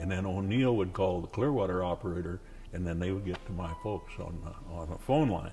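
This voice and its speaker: With an American accent, a man talks at a moderate pace while music plays behind him. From Nebraska, USA. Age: 80s+. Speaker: war veteran. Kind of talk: interview answer.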